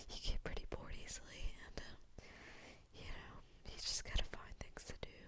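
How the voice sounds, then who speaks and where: A woman whispers. Her pace is fairly slow. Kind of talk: ASMR ramble. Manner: whispered; soft-spoken, rambling.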